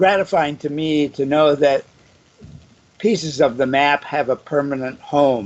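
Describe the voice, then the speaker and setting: A man with an American accent speaks at a very slow pace. His fairly high pitch moves with ordinary variation. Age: 70s. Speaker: artist. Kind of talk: interview.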